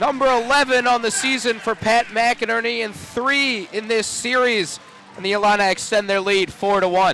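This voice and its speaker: Over noticeable background noise, a man speaks at an extremely high pitch in a raised, projected voice at a moderate pace. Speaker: sports play-by-play announcer. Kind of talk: baseball home run call. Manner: excited, rising.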